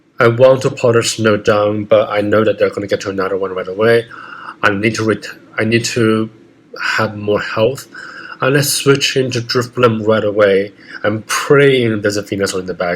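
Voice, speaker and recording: A man at a medium pitch and moderate pace, with fairly even intonation, over noticeable background noise. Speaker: gaming video creator. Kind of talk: gameplay commentary. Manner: halting, self-correcting.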